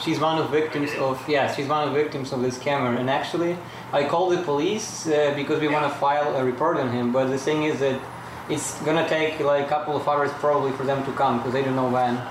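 A man's fairly high, monotone voice with flat intonation at a very fast pace over noticeable background noise. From Ukraine. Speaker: international student, fraud victim. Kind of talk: interview. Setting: outdoors near traffic.

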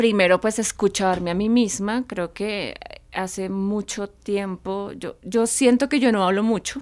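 Fairly even intonation in a plain, everyday voice. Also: woman. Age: 40s. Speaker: podcast co-host. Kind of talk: casual chat. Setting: recording studio.

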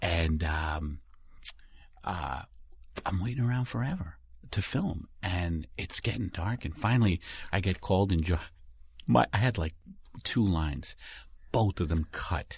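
A man with a very deep, low pitch and a somewhat breathy sound, lively intonation, a fairly slow pace and long, frequent pauses against a quiet background. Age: 50s. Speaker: comedian. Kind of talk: casual chat. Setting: studio.

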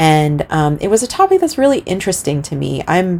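A woman with an unremarkable speaking voice speaks at a fairly low pitch with lively intonation. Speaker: artist and illustrator. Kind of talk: interview.

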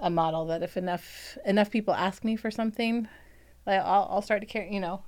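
A woman with an American accent and a plain, everyday voice, medium in pitch, fairly quick, with fairly even intonation, on a very clean recording with a silent background. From Virginia. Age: 40s. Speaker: bookstore owner. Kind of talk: casual interview. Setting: studio.

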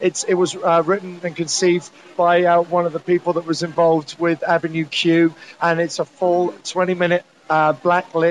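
A man with a British accent talks at a moderate pace in a high pitch. Noticeable background noise sits behind him. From UK. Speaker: cruise director. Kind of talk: interview. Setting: aboard a cruise ship.

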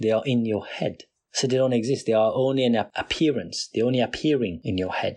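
A man with a non-native accent, medium pitch, ordinary pitch variation, fairly quick pace and very even loudness. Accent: non-native accent, noticeable. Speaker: podcast host. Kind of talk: solo motivational talk. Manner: motivational, direct.

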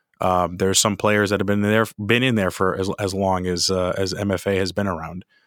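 A man's fairly quick, fairly low-pitched, monotone and flat delivery with hardly any pauses, on a very clean recording with a silent background. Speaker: podcast host. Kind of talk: podcast interview.

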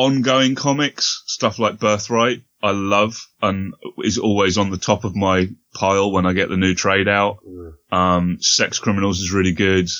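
Speaking in a British accent, a man uses a fairly low pitch, fairly even intonation, and a fairly slow pace. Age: 40s. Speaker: podcaster. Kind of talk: casual chat.

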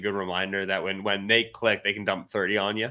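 On a very clean recording with a silent background, a man with an American accent talks at a fairly quick pace, his fairly low voice bright and sharp in tone. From US Northeast, northeastern Pennsylvania. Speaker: NFL analyst. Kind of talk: casual football analysis chat.

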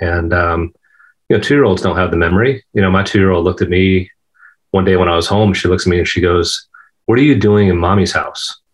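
A man's very deep, low voice with fairly even intonation and very even loudness. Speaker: golf professional. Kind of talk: interview.

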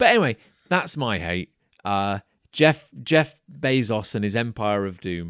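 In a dry, close recording with no echo, a man with a fairly low pitch speaks at a fairly slow pace with lively intonation. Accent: English. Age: 30s. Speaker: podcast host. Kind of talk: casual chat. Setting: remote call.

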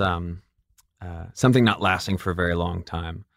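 On a very clean recording with a silent background, a man speaks with a slight General American accent. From Michigan and Atlanta. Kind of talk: casual interview chat.

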